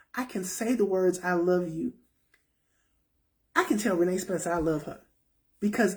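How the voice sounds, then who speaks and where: Somewhat breathy, a woman of medium pitch speaks at a moderate pace with ordinary pitch variation. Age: 50s. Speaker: self-help talk show host. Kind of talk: casual talk to viewers.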